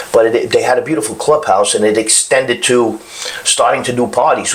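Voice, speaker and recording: A man with a Brooklyn accent at a moderate pace, over noticeable background noise. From Brooklyn, New York. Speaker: chef. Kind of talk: casual chat.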